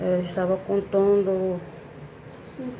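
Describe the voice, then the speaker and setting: A woman speaks very slowly while noticeable background noise carries on around her. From Brazil, Salvador (Bahia). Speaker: vlogger. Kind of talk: casual vlog monologue. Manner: conversational, with many fillers.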